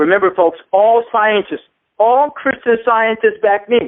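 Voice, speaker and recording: A man speaks loudly at a fairly quick pace. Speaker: debater. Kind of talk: debate closing statement. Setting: phone call. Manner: animated. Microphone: phone line.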